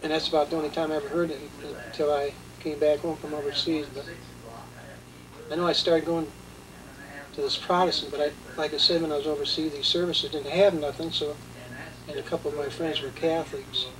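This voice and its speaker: Over noticeable background noise, a man talks at a fairly high pitch. He speaks at a very fast pace but with long, frequent pauses. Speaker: war veteran. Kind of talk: testimony. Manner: halting.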